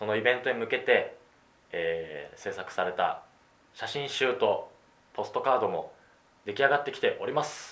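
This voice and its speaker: A man speaking at a moderate pace, with long, frequent pauses. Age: 20s. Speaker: podcast host. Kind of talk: casual chat.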